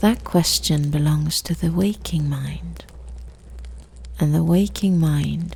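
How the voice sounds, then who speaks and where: A woman speaks softly. Her tone is gentle. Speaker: sleep story narrator. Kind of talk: sleep story. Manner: soft-spoken, slow, gentle.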